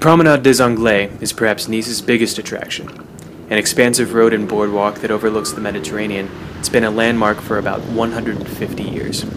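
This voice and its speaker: A man's fairly low voice at a fairly quick pace, with ordinary pitch variation and noticeable background noise. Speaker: student studying abroad. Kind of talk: travel vlog voice-over narration.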